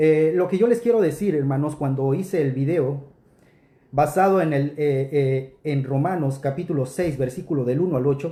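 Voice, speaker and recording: A man's fairly high, somewhat breathy voice with a dark, mellow tone, ordinary pitch variation and a moderate pace. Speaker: preacher. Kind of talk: rebuttal commentary.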